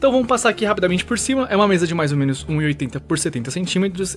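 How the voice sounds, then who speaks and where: The speaker talks quietly at a very fast pace. Music plays in the background. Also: man. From Brazil. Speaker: YouTuber. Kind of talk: vlog tour. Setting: at home, in bedroom. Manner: quiet in hallway, louder in room.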